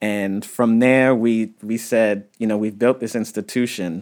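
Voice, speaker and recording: At a moderate pace, a man talks with medium pitch and ordinary pitch variation in an unremarkable speaking voice. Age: 30s. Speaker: archaeologist. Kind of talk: interview.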